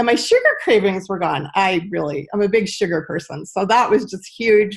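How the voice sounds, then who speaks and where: Her voice is medium in pitch, with ordinary pitch variation. The woman speaks at a moderate pace. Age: 60s. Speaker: health product distributor. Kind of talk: casual chat. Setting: video call.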